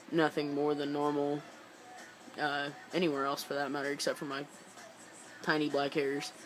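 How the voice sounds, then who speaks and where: Music plays in the background as a man at a fairly high pitch speaks with monotone, flat intonation and long, frequent pauses. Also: moderate pace. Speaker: vlogger documenting transition. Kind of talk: personal video diary. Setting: indoors, dim lighting. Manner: halting, many fillers.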